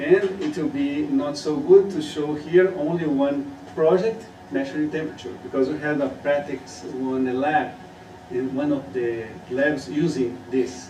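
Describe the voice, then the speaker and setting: A man with a Portuguese accent speaks at a fairly slow pace in a fairly high pitch with lively intonation. Noticeable background noise and audible room echo are present. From Brazil. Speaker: student. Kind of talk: student presentation.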